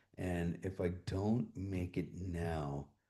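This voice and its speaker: A man's very deep, low voice sounds somewhat breathy, with a dark, mellow tone. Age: 60s. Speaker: streamer. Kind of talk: casual chat. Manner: halting.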